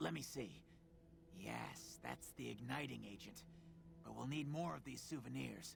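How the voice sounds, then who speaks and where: A man uses a put-on character voice with long, frequent pauses. Clear background noise can be heard. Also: moderate pace. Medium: video game. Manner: precise, technical.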